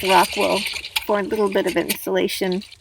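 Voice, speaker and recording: A woman speaks at a fairly quick pace. Behind her, noticeable background noise persists. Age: 60s. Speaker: van life vlogger. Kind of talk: scripted narration. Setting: in a camper van.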